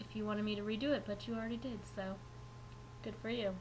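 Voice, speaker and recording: Through audible room echo and noticeable background noise, a woman speaks at a very fast pace. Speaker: knitting vlogger. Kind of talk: casual vlog. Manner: animated.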